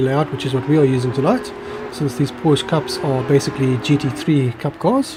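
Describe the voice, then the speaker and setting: A man's fairly high voice at a fairly quick pace, with fairly even intonation over noticeable background noise. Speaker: sim racing commentator. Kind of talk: live commentary. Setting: live stream.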